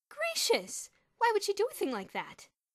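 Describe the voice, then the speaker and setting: A woman in a put-on character voice speaks at a moderate pace, squeaky and extremely high-pitched, raised and projected, with very wide pitch swings. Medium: read story. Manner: gentle, soothing.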